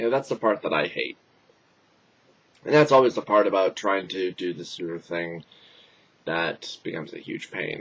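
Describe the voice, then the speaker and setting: Putting on a raspy character voice, a man talks at a moderate pace with fairly low pitch and lively intonation, leaving long, frequent pauses. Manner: complaining, weary.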